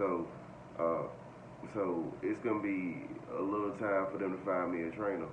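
A man's very deep, low monotone at a fairly slow pace, with noticeable background noise. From North Carolina. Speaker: trucking vlogger, trainee truck driver; truck driver trainee vlogger. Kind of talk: casual vlog monologue. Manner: halting, many fillers. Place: home room. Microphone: phone near.

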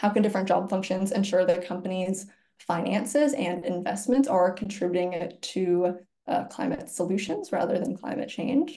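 A woman with an American accent speaks in a dark, mellow, somewhat breathy tone. Her pace is moderate, her pitch variation ordinary, and the background quiet. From Virginia, US. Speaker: climate nonprofit employee engagement lead; webinar presenter. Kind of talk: webinar presentation. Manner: animated. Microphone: webcam.

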